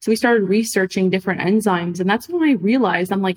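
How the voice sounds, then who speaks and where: Hers is a plain, everyday voice, medium in pitch with ordinary pitch variation. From Montreal, Canada. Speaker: food startup founder. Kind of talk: interview.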